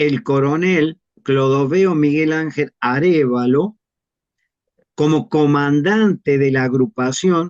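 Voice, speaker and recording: Speaking at a very slow pace, a man with a fairly high pitch comes across in a dry, close sound with no echo. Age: 70s. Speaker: retired army officer and war veteran. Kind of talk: interview testimony.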